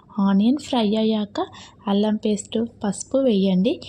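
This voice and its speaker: Somewhat breathy and dark, mellow in tone, a woman speaks at a medium pitch with ordinary pitch variation. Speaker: home cook. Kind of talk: recipe voice-over.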